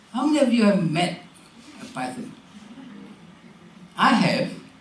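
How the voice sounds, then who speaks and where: A man speaks fairly slowly in a high voice with lively intonation. Noticeable background noise and audible room echo surround him. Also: long, frequent pauses. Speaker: keynote speaker. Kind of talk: keynote address.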